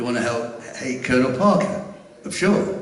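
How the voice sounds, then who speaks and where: With an English accent, a man speaks in very wide pitch swings, his voice carrying audible room echo over noticeable background noise. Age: 70s. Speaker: fan club secretary. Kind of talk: live stage interview. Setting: stage with audience.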